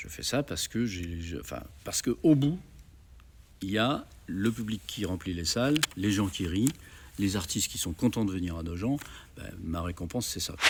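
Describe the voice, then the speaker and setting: Lively intonation marks this man's fairly low, somewhat breathy voice. He keeps a moderate pace with long, frequent pauses. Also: big swings in loudness. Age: 70s. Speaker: festival organizer, former radio and TV program director. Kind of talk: interview. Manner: hesitant, many fillers.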